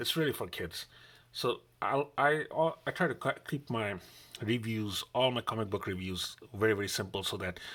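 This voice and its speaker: A man with a fairly low pitch and a bright, sharp tone talks at a fairly quick pace, using ordinary pitch variation. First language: non-English mother tongue. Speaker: comic book reviewer. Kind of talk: unboxing and review vlog. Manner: casual, repetitive.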